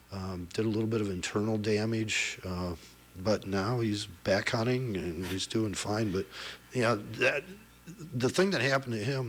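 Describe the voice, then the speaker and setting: A man with a Midwestern US accent at a moderate pace. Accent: US Midwest. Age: 60s. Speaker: hunter, conservation guest. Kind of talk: radio interview. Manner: halting, many fillers.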